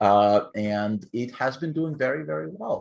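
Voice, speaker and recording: A man with a non-native accent and a medium pitch. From Ukraine. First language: not English. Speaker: author. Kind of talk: casual interview.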